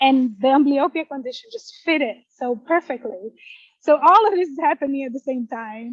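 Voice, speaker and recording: In a Portuguese accent, a woman with a high pitch talks with lively intonation and big swings in loudness, the sound dry and close with no echo. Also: moderate pace. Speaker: poet. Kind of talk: interview. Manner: halting.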